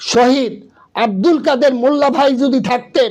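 This man's pitch is extremely high. It varies in an ordinary way. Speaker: Islamic party leader. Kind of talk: political speech. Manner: impassioned.

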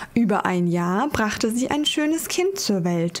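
Soft-spoken and at a medium pitch, a woman talks at a very slow pace. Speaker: ASMR creator. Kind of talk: fairy tale reading, ASMR sleep story. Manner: soft-spoken, slow, calming. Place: home room.

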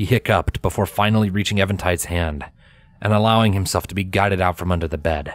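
This is a natural reading voice. It is heard on its own here.

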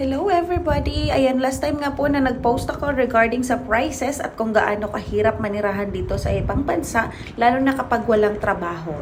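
With noticeable background noise and audible room echo, a woman speaks in a fairly high voice with lively intonation. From Philippines. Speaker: vlogger. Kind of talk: casual vlog monologue.

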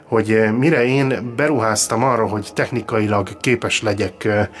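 Music plays in the background while speech moves along at a moderate pace. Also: man. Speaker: radio show host. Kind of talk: casual radio talk show chat. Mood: jokey, good-humoured. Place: studio. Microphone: studio mic.

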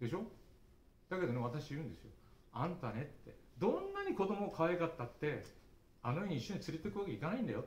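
Amid audible room echo, a man talks at a very fast pace in a high voice, with very wide pitch swings and long, frequent pauses. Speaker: early childhood education lecturer. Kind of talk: speech at study group. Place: hall. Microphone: camera far.

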